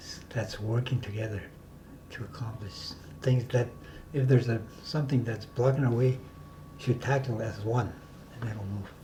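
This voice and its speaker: In a room with audible echo, a man at medium pitch speaks at a moderate pace with fairly even intonation, big swings in loudness and long, frequent pauses. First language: Dene (North Slavey). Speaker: community elder and self-government negotiator. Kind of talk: interview conversation. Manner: halting.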